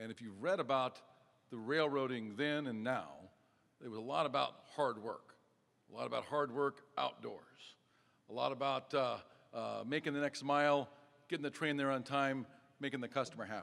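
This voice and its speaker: Speaking with an American accent, a man keeps a moderate pace and fairly even intonation, with long, frequent pauses. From Nebraska, US. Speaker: railroad company executive. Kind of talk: speech at a press event. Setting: stage with audience. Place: hall. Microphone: podium.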